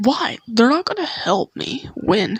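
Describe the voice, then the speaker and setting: Putting on a character voice, a woman speaks fairly high and at a fairly slow pace. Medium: read story. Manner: aggressive, shouting.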